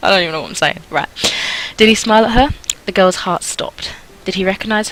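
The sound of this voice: It is an unforced reading voice. Intonation stays fairly even.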